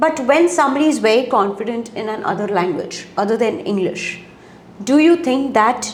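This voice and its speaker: A woman's high voice at a moderate pace, with lively intonation and noticeable background noise. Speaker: interviewer, career counsellor. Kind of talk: interview.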